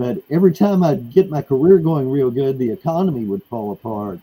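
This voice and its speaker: A man's medium-pitched, dark, mellow voice in a Texan accent, at a moderate pace. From Texas, USA. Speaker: author and artist. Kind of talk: interview answer.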